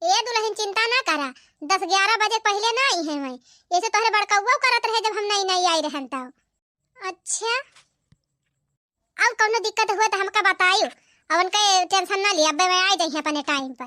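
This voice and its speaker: A woman does a cartoonish character voice at an extremely high pitch, with lively intonation and a fairly quick pace, in a dry, close sound with no echo. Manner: warm, motherly.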